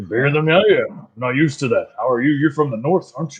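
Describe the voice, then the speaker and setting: A man puts on a gruff character voice at a very fast pace. The pitch sits fairly high. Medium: actual play.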